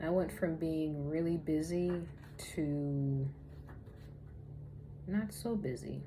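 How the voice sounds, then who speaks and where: A woman's very deep, low voice at a very slow pace, with long, frequent pauses, very even loudness and audible room echo. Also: ordinary pitch variation. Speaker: spiritual lifestyle vlogger. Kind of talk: casual vlog monologue.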